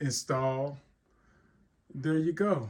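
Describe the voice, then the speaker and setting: A man talks in a fairly high voice. It sounds somewhat breathy. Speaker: tech tutorial YouTuber. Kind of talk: tutorial. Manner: casual, with fillers and repetitions.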